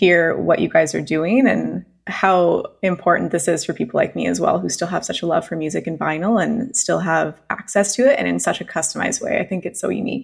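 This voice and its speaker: A woman with a Canadian accent and vocal fry, at a fairly quick pace. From Canada (British Columbia). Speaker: podcast host. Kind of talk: casual interview.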